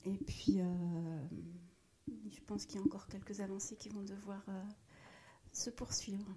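Speaking at a very slow pace, a woman has a somewhat breathy voice with a dark, mellow tone. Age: 40s. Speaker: corporate social responsibility professional. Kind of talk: casual interview. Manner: hesitant, many fillers.

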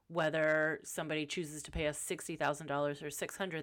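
A woman's very deep, low pitch in a monotone, flat intonation, on a very clean recording with a silent background. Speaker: podcast host and life coach. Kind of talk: casual monologue. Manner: casual, off the cuff.

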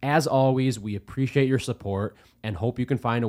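With an ordinary speaking voice, a man keeps a moderate pace and medium pitch in a very clean recording where the background is silent. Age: 20s. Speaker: podcast co-host. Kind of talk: casual chat.

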